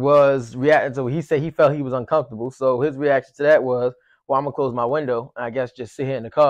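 Speech runs at a very fast pace. The sound is dry with no echo, over a quiet background. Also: man. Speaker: commentary host. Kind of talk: casual commentary discussion. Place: home room.

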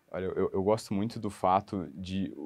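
The speaker talks at a fairly slow pace in a monotone, flat intonation over a quiet background. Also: man. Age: 30s. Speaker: law graduate preparing for public exams; interviewee. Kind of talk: testimonial interview. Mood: friendly, smiling. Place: office. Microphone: lapel.

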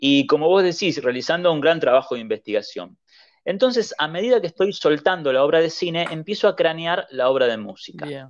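Using lively intonation, a man with a high pitch speaks at a fairly quick pace. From Argentina. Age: 30s. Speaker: writer and music critic. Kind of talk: interview.

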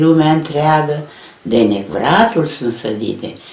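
In a room with audible echo, a woman speaks very slowly at a very deep, low pitch. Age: 80s+. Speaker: elderly reciter of her mother's poem. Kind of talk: poetry reading. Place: home room. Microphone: camera far.

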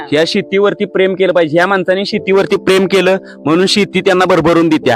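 A man's high-pitched voice with very even loudness and fairly even intonation, music in the background. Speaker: interviewer. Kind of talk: interview questions.

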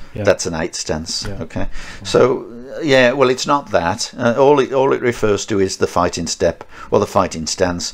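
A man speaks with a Birmingham accent. His pace is moderate. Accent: Birmingham (Brummie) English. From Birmingham, England. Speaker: martial arts instructor. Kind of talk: casual chat.

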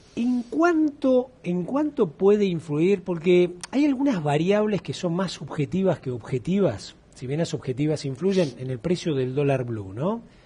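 Here a man speaks with a high pitch and very wide pitch swings. His pace is fairly slow, with hardly any pauses. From Chile. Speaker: agricultural channel host. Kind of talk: interview. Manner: animated. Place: studio. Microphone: headset.

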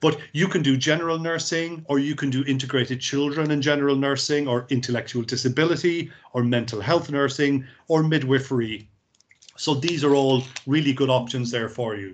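A man with a Cork accent talks at a fairly quick pace in a fairly high voice with fairly even intonation. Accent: Cork Irish. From Ireland, Cork; Ireland. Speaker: university recruitment representative; presenter. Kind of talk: presentation. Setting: video call. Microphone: video call.

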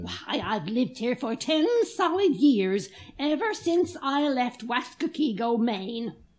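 Pitched high, this woman's voice moves at a fairly slow pace with very wide pitch swings. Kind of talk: 1940s radio drama. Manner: brisk, tart, unflappable.

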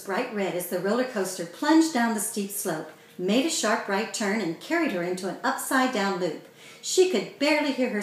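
Lively intonation runs through a natural reading voice.

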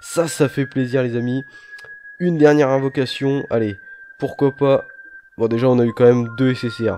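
A soft-spoken man with a medium pitch talks at a fairly slow pace with fairly even intonation. Long, frequent pauses break his speech amid noticeable background noise. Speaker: gaming YouTuber. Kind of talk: gameplay commentary. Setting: home recording late at night. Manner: quiet, speaking softly.

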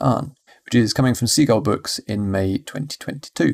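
With a British accent, a man speaks in a medium pitch with ordinary pitch variation on a very clean recording with a silent background. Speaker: podcast host. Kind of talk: scripted podcast intro and outro.

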